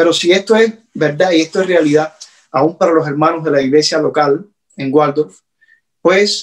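The speaker has a Cuban accent. The background is quiet. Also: man. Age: 40s. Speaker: pastor. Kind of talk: sermon. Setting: at home. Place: home room. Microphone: phone near.

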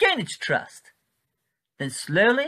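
Over a quiet background, a man talks at a fairly slow pace in a theatrical, menacing tone. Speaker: comedy sketch actor. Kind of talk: 1940s newsreel parody narration. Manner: clipped, plummy, mock-jovial, theatrical, gleefully menacing. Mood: taunting, sinister comic menace. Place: home room.

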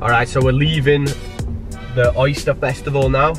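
A man's voice comes through dry with no echo, with clear music playing behind it. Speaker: travel vlogger. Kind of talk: casual vlog chat. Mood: happy, satisfied after food.

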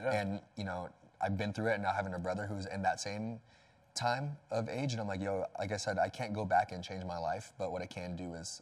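Against a quiet background, a man with a plain, everyday voice talks at a fairly quick pace, with fairly low pitch and fairly even intonation. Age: 20s. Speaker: personal trainer and church youth leader; personal trainer. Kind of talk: casual interview chat. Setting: studio. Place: home room. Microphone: lapel.

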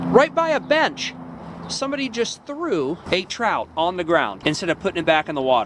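A man talks at a fairly quick pace with noticeable background noise. The sound is dry, with no echo. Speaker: angler vlogger. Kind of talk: casual vlog commentary. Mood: disappointed, critical. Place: open country. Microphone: phone near.

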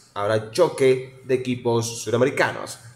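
There is music in the background and audible room echo. Over it, a man talks at a moderate pace. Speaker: radio announcer. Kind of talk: radio sports news report. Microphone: phone near.

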